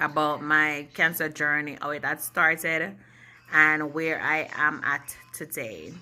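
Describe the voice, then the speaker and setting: A woman with a very deep, low pitch and a bright, sharp tone speaks at a very slow pace. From Jamaica. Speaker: vlogger. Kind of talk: personal vlog, health story. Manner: deliberately slow and clear.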